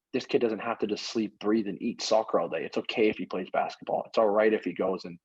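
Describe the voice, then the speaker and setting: A man talks at a very fast pace with hardly any pauses. The background is quiet. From US Northeast, Maine. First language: Greek. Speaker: former pro soccer player and coach. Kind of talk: casual chat.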